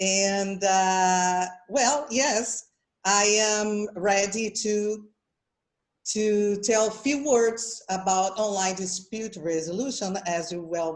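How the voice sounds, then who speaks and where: A woman speaks in a Portuguese accent at a medium pitch. Her pace is very slow. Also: ordinary pitch variation. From Brazil. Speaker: mediator. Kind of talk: conference presentation. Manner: halting.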